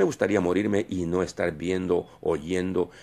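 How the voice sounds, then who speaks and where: Very deep, low pitch from a man, his intonation fairly even. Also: very clean recording, silent background. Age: 60s. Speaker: preacher. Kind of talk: sermon. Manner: halting.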